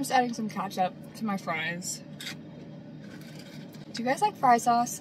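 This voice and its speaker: A woman talks at a moderate pace in a fairly high voice, her pitch varying in an ordinary way, with noticeable background noise behind her. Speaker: vlogger. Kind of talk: casual talk to camera. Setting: in a car. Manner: eating while talking.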